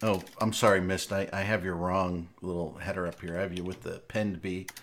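With a normal speaking voice, a man talks at a moderate pace, fairly low in pitch, with fairly even intonation. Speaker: live stream host. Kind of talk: casual live stream banter. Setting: live Twitch stream, online call.

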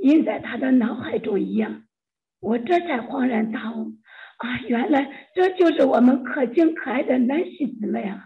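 A woman speaks at a fairly slow pace, her high voice carrying lively intonation. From China. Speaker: church member sharing testimony. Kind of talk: testimony.

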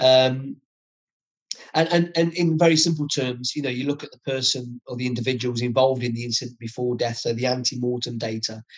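A man with an East Midlands accent, fairly even intonation, a fairly quick pace and big swings in loudness. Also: medium pitch for a man. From Nottingham, England. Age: 50s. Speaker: retired senior police officer. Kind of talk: interview.

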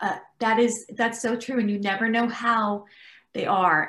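The delivery moves at a moderate pace. It is an unremarkable speaking voice. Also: woman. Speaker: interior designer and TV host. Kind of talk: panel discussion. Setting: video call.

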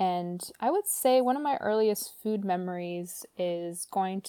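A woman with an American accent speaks at a very slow pace in a dark, mellow tone at medium pitch with ordinary pitch variation, on a very clean recording with a silent background and a dry, close sound with no echo. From Romania until five, then US. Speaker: nonprofit food worker. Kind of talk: casual chat.

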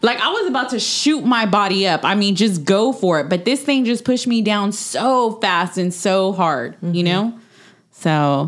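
A woman with a Texan accent talks at medium pitch and a moderate pace with lively intonation. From Texas. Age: 30s. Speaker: podcast guest. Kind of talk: casual chat, telling personal ghost stories.

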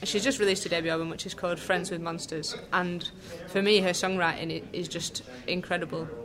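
In a Lancashire accent, a woman talks at a fairly quick pace with a fairly low pitch and fairly even intonation, with audible room echo and noticeable background noise. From Lancashire, northern England. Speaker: jazz saxophonist and composer. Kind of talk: casual interview. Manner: hesitant, many fillers.

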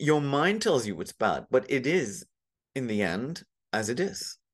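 Against a quiet background, a man with a fairly high pitch and vocal fry swings very widely up and down in pitch. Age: 50s. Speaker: lawyer and meditation teacher. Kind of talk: casual chat. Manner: halting.

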